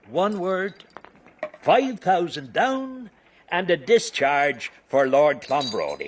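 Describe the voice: A man's put-on character voice at a slow pace, fairly high in pitch with big swings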